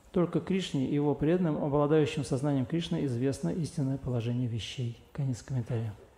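Speaking at a moderate pace with ordinary pitch variation, a man's somewhat breathy voice has a dark, mellow tone and audible room echo. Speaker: lecture interpreter. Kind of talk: reading scripture commentary aloud. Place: hall.

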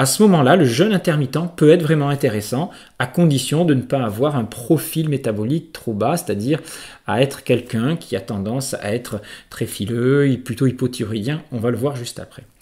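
Recorded very cleanly against a silent background, a man talks at a moderate pace in a medium pitch with ordinary pitch variation, his somewhat breathy voice carrying a dark, mellow tone. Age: 50s. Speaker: naturopath and trainer. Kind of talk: educational monologue.

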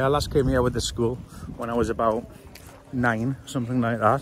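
At a fairly quick pace, a man talks over light background noise, the sound dry with no echo. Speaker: family travel vlogger. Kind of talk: casual vlog chat. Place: street. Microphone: phone near.

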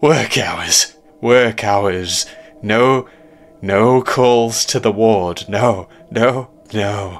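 A man's put-on character voice at a medium pitch, very slow, with fairly even intonation and long, frequent pauses. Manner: screaming.

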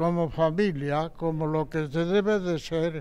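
A man's high-pitched voice at a very slow pace with fairly even intonation. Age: 80s+. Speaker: centenarian; interviewee. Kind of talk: interview. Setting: seniors' centre. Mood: grateful, warm, reflective. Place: hall. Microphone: handheld.

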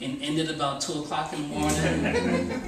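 A man with a fairly high pitch is heard amid noticeable background noise, his voice carrying audible room echo. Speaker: stand-up comedian and poet. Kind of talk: stand-up comedy set with crowd work and story bits, open mic. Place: cafe. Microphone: camera far.

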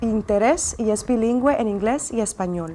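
A woman speaks at a moderate pace with ordinary pitch variation, and light background noise can be heard. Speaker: host. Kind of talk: scripted bilingual introduction; announcement to viewers. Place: studio.

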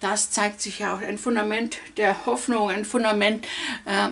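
Ordinary pitch variation and a fairly slow pace from a woman. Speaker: card reader. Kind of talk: weekly oracle card reading. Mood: warm, reassuring. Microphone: phone near.

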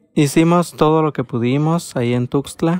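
The man's pitch shifts in an ordinary way as he talks. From Honduras, Copán. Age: 20s. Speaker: migrant asylum seeker. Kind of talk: personal testimony. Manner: halting, with fillers.

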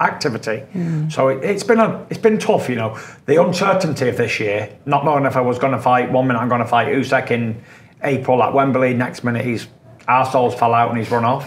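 A man talks with lively intonation, moving at a fairly quick pace. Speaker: interviewee. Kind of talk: interview answer. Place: studio.

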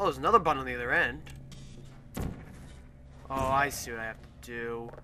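Over noticeable background noise, the speaker goes at a fairly quick pace with ordinary pitch variation and long, frequent pauses. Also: man. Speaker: gaming video creator. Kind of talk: let's play commentary. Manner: animated.

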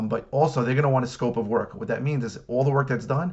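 A man speaks with ordinary pitch variation. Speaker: coach. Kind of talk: casual advice talk. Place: office. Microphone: webcam.

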